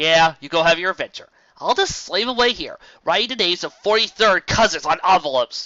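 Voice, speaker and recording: Using a put-on character voice, a man speaks in a high pitch. His pace is fairly quick. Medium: read story. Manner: sheepish, self-deprecating.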